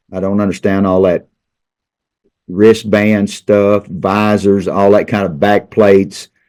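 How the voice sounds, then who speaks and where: Male voice with an Arkansas accent, monotone and flat, at a fairly slow pace. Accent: Southern US (Arkansas). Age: 60s. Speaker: high school football coach. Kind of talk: casual interview. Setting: studio. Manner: halting, repeats words.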